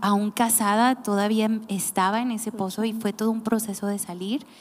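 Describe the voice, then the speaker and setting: A woman speaks at a moderate pace. She has a plain, everyday voice, fairly high in pitch. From Mexico, Nayarit. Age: 30s. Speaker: podcast host, church team member. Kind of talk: casual chat.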